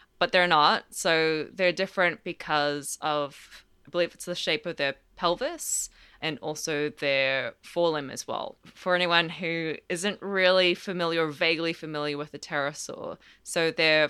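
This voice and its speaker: In an Australian accent, a woman with a fairly low pitch and a bright, sharp tone speaks at a fairly slow pace with ordinary pitch variation, on a very clean recording with a silent background. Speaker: palaeontologist. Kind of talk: casual educational interview.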